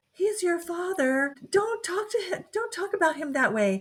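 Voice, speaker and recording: Squeaky and breathy, a female-sounding put-on character voice sits at an extremely high pitch and moves at a moderate pace. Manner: light, airy, flittery.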